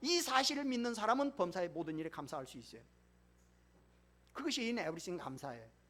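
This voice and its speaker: With audible room echo, a man with a high, bright, sharp voice talks very fast, with big swings in loudness, very wide pitch swings, and long, frequent pauses. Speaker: pastor. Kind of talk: sermon.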